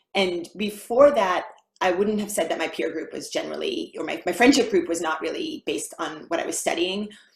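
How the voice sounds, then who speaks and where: At a fairly quick pace, a woman with an American accent speaks in a somewhat breathy voice at medium pitch with very wide pitch swings. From United States. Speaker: mathematician, university lecturer. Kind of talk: interview, casual conversation.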